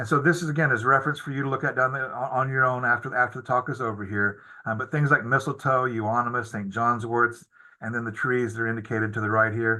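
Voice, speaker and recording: Against a quiet background, a man talks at a very fast pace with medium pitch, fairly even intonation and a bright, sharp tone. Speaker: biology professor and herbarium curator. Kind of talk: webinar lecture. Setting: online webinar. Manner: halting, many repetitions and fillers.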